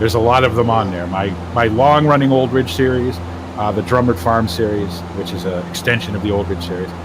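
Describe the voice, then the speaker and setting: A man with an American accent talks at a fairly quick pace in a fairly low voice with ordinary pitch variation, amid audible room echo and noticeable background noise. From US, Massachusetts. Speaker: gaming streamer. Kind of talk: casual chat.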